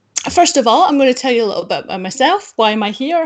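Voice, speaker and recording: A woman talks in a Scottish accent. The background is quiet. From Scotland. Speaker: data quality consultant; webinar presenter. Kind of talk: conference talk. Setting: video call with screen share. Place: home room. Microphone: webcam.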